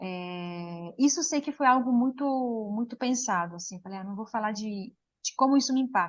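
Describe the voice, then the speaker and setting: A woman speaks with an Italian accent and lively intonation. Her voice is somewhat breathy. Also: fairly high pitch for a woman, moderate pace. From Switzerland, Lugano (Italian-speaking). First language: Italian (speaking Portuguese). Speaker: poet. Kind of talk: interview. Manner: halting.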